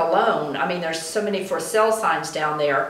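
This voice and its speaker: With an American accent, a woman talks at a medium pitch with ordinary pitch variation, over noticeable background noise and audible room echo. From Florida. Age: 60s. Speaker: retired postmaster and local activist. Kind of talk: interview.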